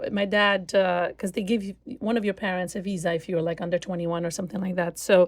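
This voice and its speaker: A woman's medium-pitched voice with an Albanian accent, very fast pace and fairly even intonation. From Albania (Shkodra). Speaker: concert cellist. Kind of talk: interview conversation. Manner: halting, many fillers.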